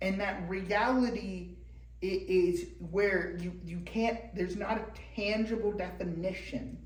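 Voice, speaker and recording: A fairly slow pace over noticeable background noise. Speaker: church teacher. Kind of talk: lecture. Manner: loud; halting.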